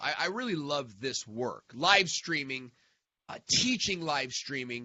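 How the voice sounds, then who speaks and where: His pitch swings very widely as a man talks at a fairly slow pace. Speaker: online marketing coach. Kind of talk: live stream tutorial. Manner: halting, many fillers.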